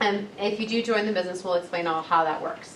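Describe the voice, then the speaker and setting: Delivered at a fairly quick pace with ordinary pitch variation, the voice comes through noticeable background noise. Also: woman. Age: 20s. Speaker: entrepreneur and massage therapist. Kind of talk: live sales presentation to an audience. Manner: casual, enthusiastic.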